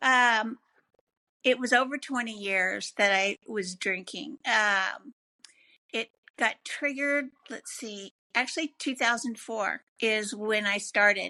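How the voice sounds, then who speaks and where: A woman speaks very slowly in a bright, sharp tone with ordinary pitch variation. The sound is dry and close with no echo, and the background is quiet. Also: fairly high pitch for a woman. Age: 60s. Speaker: recovering addict. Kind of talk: testimony.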